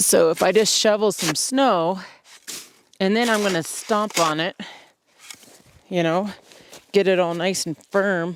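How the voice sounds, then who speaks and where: A woman talks at a fairly slow pace. Her pitch sits in the medium range. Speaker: outdoor vlogger. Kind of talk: casual vlog narration. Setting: outdoors. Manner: loud.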